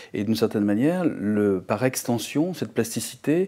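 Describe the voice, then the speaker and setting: A man with a southern French accent speaks at a medium pitch and a moderate pace in a dark, mellow tone. The recording is very clean, with a silent background. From southern France. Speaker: visual artist. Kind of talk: interview conversation. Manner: halting, many repetitions.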